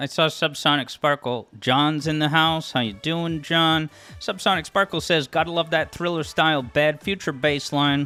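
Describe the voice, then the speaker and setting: A man with a Massachusetts accent, fairly high-pitched, at a moderate pace with hardly any pauses, over music in the background. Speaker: music theory YouTuber and game streamer. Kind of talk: casual live stream chat. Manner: animated, with frequent stammered repeats.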